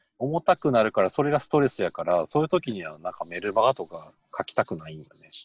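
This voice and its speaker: A man talks at a very fast pace, his loudness swinging widely. The sound is dry and close, with no echo. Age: 30s. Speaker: education professional, co-host. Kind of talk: casual chat.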